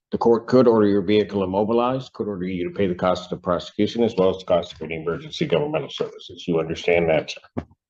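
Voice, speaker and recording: A man with a fairly low pitch talks at a very fast pace with lively intonation and hardly any pauses. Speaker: judge. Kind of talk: court hearing. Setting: courtroom. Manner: formal.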